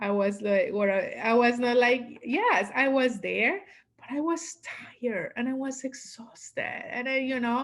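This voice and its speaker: In a strong Latin American accent, a woman talks at a fairly slow pace in a high voice, with ordinary pitch variation and big swings in loudness. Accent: heavy Latin American Spanish. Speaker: business coach. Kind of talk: interview.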